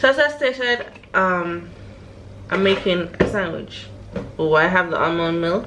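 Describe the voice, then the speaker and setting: A medium-pitched woman speaks at a fairly slow pace with lively intonation and long, frequent pauses, amid audible room echo and noticeable background noise. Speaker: vlogger. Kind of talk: casual vlog. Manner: whispering.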